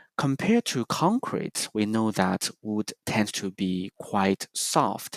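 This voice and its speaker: On a very clean recording with a silent background and a dry, close sound with no echo, a man with a slight non-native accent speaks at a fairly low pitch and a very slow pace. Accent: slight foreign. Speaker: presenter giving a building tour. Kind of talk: prepared presentation, simulated guided tour. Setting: recorded for virtual practice session.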